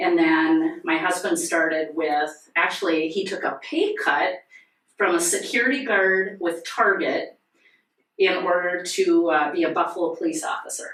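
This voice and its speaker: In a North Dakota accent, a woman talks at a fairly slow pace. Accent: Upper Midwest (North Dakota). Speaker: nonprofit volunteer, sheriff's wife. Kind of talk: casual podcast interview. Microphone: poor audio due to technical difficulties.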